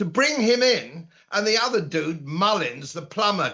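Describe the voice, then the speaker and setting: Speaking at a moderate pace with a British accent, a man uses lively intonation and a bright, sharp tone. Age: 70s. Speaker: political commentator. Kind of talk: political interview.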